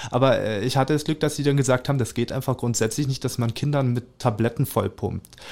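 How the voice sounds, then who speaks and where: The man rattles along at a very fast pace. His intonation is fairly even throughout. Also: medium pitch for a man, hardly any pauses. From Germany, Spreewald (Brandenburg). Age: 20s. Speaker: artist. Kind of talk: interview. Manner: halting, many fillers.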